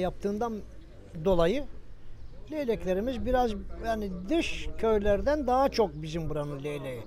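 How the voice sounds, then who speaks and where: A man with a high pitch, a dark, mellow tone and a moderate pace. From Turkey, Bursa region village. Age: 60s. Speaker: villager. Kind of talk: interview.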